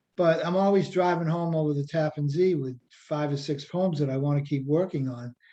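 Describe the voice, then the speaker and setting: A man with a Boston accent, fairly high pitch, a dark, mellow tone, ordinary pitch variation and a moderate pace. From Revere, Massachusetts (Boston area). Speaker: poet and writing workshop teacher. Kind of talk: workshop lecture. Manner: casual, many fillers.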